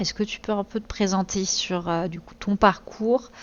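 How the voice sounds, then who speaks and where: A woman's unremarkable speaking voice, medium in pitch, at a fairly slow pace. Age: 30s. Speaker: streamer and interview host. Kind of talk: interview. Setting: live stream.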